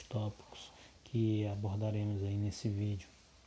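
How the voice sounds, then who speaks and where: A man is speaking. His pace is fairly slow. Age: 30s. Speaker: course instructor, soil lab technician. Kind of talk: lecture. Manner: halting.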